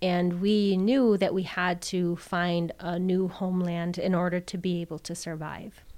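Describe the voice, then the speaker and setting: A woman with an American accent talks at a fairly slow pace with hardly any pauses, in a fairly low pitch and a monotone, flat intonation. The recording is very clean with a silent background. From Wisconsin, Oneida Reservation. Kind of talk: interview.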